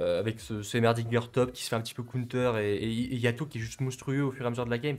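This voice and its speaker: This man speaks very fast at a medium pitch. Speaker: esports caster. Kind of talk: live commentary. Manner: animated.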